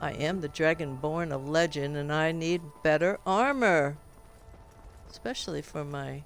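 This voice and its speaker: Music plays in the background as a woman speaks at a very deep, low pitch with ordinary pitch variation. Her pace is fairly slow, with long, frequent pauses. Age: 70s. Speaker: gamer streamer. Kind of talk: casual gameplay commentary.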